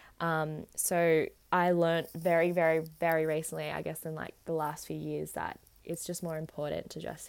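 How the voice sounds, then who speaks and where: Here a woman speaks with an Australian accent at a moderate pace. The recording is very clean, with a silent background. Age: 20s. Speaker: podcast host. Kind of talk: solo monologue podcast.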